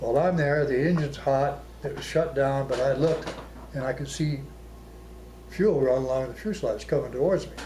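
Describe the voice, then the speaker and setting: Speaking at a fairly quick pace with long, frequent pauses, a man with an American accent uses a fairly high pitch with ordinary variation, over noticeable background noise and audible room echo. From Arizona. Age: 80s+. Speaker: war veteran. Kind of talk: oral history interview.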